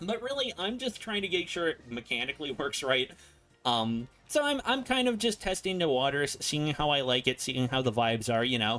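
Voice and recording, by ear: A man's fairly high voice with a fairly bright tone and big pitch swings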